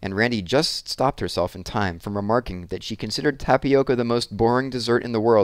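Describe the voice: The speaker does plain reading aloud. Pitch variation is ordinary.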